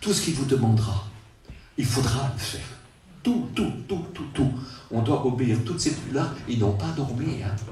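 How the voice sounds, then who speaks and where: In a room with audible echo, a man speaks at a fairly slow pace with very wide pitch swings. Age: 70s. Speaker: preacher. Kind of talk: sermon. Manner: halting, repetitive.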